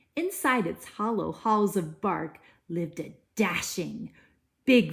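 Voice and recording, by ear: Reading aloud in a natural voice with lively intonation, over a quiet background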